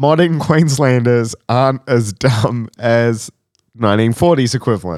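With an Australian accent, a man talks at a medium pitch and a fairly slow pace, his pitch varying in an ordinary way. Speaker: podcast host. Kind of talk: casual chat.

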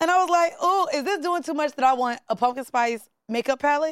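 A woman with an animated tone and lively intonation, recorded dry and close with no echo. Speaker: podcast co-host. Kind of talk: casual chat. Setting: studio.

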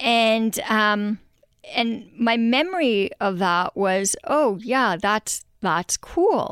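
At a very slow pace, a woman with a fairly high pitch and lively intonation keeps her loudness very even, in a very clean recording with a silent background and a dry, close sound with no echo. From Quebec, Montreal. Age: 40s. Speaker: animal rights lawyer. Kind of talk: interview.

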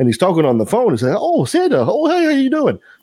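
Fairly quick speech with a French Canadian accent and very wide pitch swings. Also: man. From Canada, French Canadian. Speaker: podcast host. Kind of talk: casual chat.

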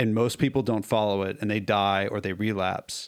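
This man has a plain, everyday voice at a fairly low pitch. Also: very clean recording, silent background. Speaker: author and speaker in recovery. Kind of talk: casual interview conversation. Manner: casual, conversational.

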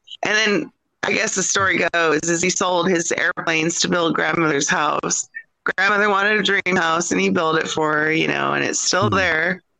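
In an American accent, a woman speaks at a moderate pace with a fairly low pitch and ordinary pitch variation, the sound dry and close with no echo. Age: 40s. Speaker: author and granddaughter of a UFO witness. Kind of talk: interview.

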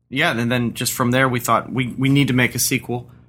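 Bright, sharp tone at a moderate pace. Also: man. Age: 40s. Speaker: indie game developer. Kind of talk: casual interview. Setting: gaming convention.

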